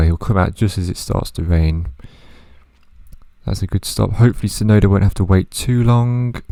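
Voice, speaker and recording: Quiet and dark in tone, a man's mellow voice moves with ordinary pitch variation. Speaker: gaming youtuber. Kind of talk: gameplay commentary.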